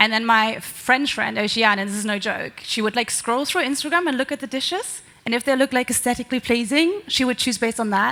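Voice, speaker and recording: A woman with a German accent talks at a fairly quick pace in a high pitch, with ordinary pitch variation and hardly any pauses. Noticeable background noise is present. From Germany. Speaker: marketing executive. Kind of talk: panel discussion.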